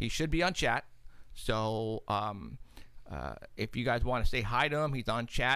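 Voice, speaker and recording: A man's voice, bright and sharp with lively intonation and vocal fry, stands out against a quiet background. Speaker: paranormal radio show host and investigator. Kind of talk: live talk show, casual chat. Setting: studio. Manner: animated, laughs often. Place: studio. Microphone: studio mic.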